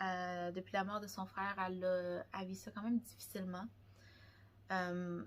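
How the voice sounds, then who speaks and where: A woman with a Quebec accent talks at a fairly slow pace, pausing long and often. Her pitch is medium and her intonation fairly even. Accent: Québécois French. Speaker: book vlogger. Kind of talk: casual chat. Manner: halting.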